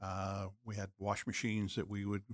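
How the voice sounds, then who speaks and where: In a Canadian accent, a man talks fairly slowly with a fairly low pitch and an ordinary speaking voice. The recording is very clean, close and dry, with no echo and a silent background. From British Columbia, Canada. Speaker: city councillor, former goaltender and police officer. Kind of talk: casual chat.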